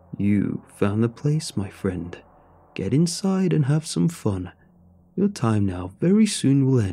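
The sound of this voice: A put-on character voice with a dark, mellow tone and a slightly husky edge is heard. It moves at a slow pace with big pitch swings. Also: man, medium pitch for a man.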